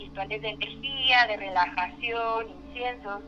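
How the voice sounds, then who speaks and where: There is noticeable background noise as a woman speaks at a moderate pace. Her pitch is fairly high, with ordinary variation. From Mexico City. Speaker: caller. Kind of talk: personal story. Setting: phone call.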